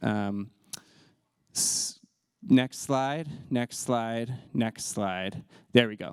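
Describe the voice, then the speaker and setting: Recorded very cleanly against a silent background, with a dry, close sound and no echo, a man speaks in a normal speaking voice with an American accent. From US South. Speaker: LGBTQ inclusion trainer. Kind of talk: presentation. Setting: talk with slides.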